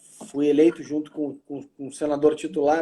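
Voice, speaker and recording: A man talks in a southern Brazilian accent with a dark, mellow tone. His pace is moderate. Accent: southern Brazilian (gaúcho). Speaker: lawyer and politician. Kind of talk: live video chat interview. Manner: halting, repeats words.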